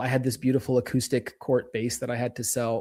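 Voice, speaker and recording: In an American accent, a man talks at a fairly quick pace. His medium-pitched voice has a dark, mellow tone. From US South (Atlanta, Georgia), later Israel. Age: 30s. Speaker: podcast guest, creator. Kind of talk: casual interview chat. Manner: halting, many repeated words.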